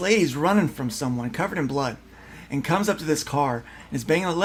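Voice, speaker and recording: Very fast and fairly high-pitched, a man talks with lively intonation. There is noticeable background noise. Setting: group conversation.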